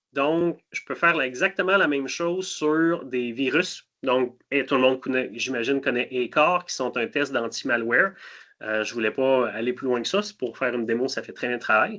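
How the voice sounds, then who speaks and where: Against a quiet background, a man speaks at a moderate pace and medium pitch, his tone bright and sharp and his pitch varying in an ordinary way. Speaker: cybersecurity solutions specialist. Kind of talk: webinar product demo.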